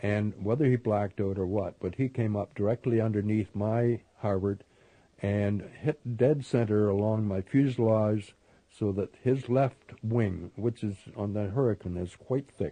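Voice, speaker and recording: A man with a Canadian accent speaks at a fairly low pitch in a dark, mellow tone. His intonation is fairly even and his pace fairly slow. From Canada. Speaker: war veteran, former Spitfire pilot. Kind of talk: interview answer.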